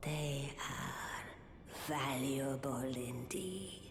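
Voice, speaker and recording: A put-on character voice speaks in a solemn tone. There is loud background noise and a slight echo. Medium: video game. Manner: slow, solemn, cryptic.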